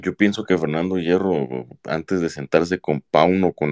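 With vocal fry and a very deep, low pitch, a man speaks at a fairly slow pace in a dry, close sound with no echo against a quiet background. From Mexico, Autlán de la Grana, Jalisco. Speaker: football fan commentator. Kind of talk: casual chat.

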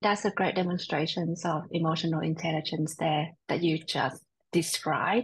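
Somewhat breathy, this voice moves at a moderate pace with fairly even intonation. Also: woman. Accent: American. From Vietnam and Australia, lives in US. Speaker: podcast host. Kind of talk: scripted intro and interview chat.

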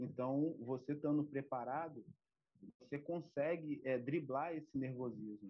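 The speech moves at a fairly slow pace with fairly even intonation and very even loudness. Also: man, fairly high pitch for a man. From Brazil, Campos dos Goytacazes (Rio de Janeiro state). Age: 30s. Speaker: ROV operator trainee. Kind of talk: interview. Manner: halting, many fillers and repetitions.

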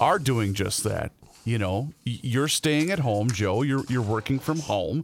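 Speaking at a fairly slow pace, a man uses a normal speaking voice at medium pitch with lively intonation. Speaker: podcast co-host. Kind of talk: casual talk show.

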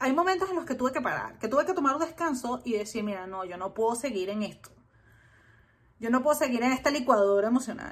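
A woman rattles along at a very fast pace, her high pitch moving in lively intonation. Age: 30s. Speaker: YouTuber reviewing books. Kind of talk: solo book review video. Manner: hesitant filler-laden delivery.

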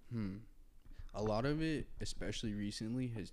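A man speaks in an American accent at a moderate pace. He has an ordinary speaking voice. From Indiana, US Midwest. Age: 20s. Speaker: clothing designer. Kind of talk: casual chat. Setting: studio.

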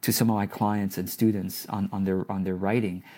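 This man talks at a fairly quick pace on a very clean recording with a silent background. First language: not English. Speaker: business coach. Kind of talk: casual interview chat. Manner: warm, hesitant with repeats.

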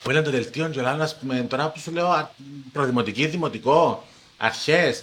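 A man is speaking. His intonation is lively. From Cyprus, Paphos. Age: under 42. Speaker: TV presenter. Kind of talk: casual chat.

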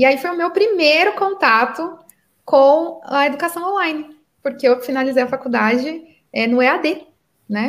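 A woman talks with lively intonation. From Brazil, São Paulo state (Santo André). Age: 30s. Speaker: entrepreneur and business mentor. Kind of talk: podcast interview.

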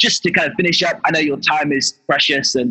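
This man's voice is pitched fairly high. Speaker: podcast host. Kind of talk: interview conversation. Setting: video call while on the road. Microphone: poor line quality.

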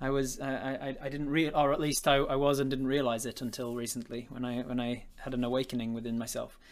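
Delivered in an English accent at a very fast pace, the speech runs with monotone, flat intonation and hardly any pauses. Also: man, medium pitch for a man. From England. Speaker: podcast host and games master. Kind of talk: casual interview chat. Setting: live stream video call.

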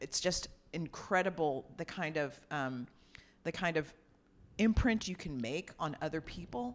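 Speaking fairly slowly with an American accent, this voice has lively intonation. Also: woman. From New York (Brooklyn). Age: 50s. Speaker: nonprofit co-founder. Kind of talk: interview. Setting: in-person recording.

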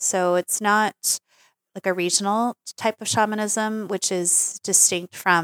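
Very slow and monotone with flat intonation, the voice is heard on a very clean recording with a silent background and a dry, close sound with no echo. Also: woman. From Taiwanese family background. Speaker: shamanic practitioner and plant medicine healer. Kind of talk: interview conversation. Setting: in-person recording. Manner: halting, repeats words.

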